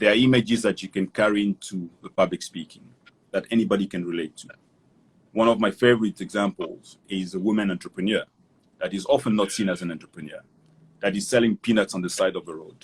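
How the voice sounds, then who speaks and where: At a very fast pace, a man with a fairly low voice speaks with fairly even intonation and big swings in loudness, in a dry, close sound with no echo. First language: not English. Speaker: development professional and public speaker. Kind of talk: interview. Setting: Instagram Live video call.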